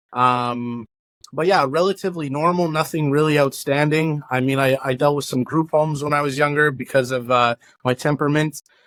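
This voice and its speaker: An unremarkable speaking voice, a man with a Canadian accent talks at a fairly quick pace and fairly high pitch, with fairly even intonation, very even loudness and a very clean, silent background. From Canada, Winnipeg (Transcona). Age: 30s. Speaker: former organized crime member. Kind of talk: interview. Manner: casual, many fillers.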